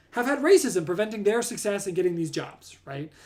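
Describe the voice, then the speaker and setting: Loud and lively in intonation, a man with a high voice speaks at a fairly quick pace. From Southern California. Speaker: astronomer. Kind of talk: live stream talk.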